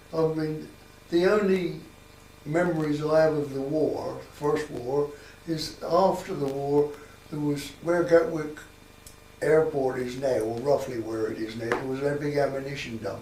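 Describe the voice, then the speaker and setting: Over noticeable background noise and audible room echo, a man with a fairly high voice talks at a fairly slow pace with ordinary pitch variation. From southern England, Sussex (Copthorne area). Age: 80s+. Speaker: local elder interviewed about village history. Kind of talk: oral history interview. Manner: halting, with many repetitions.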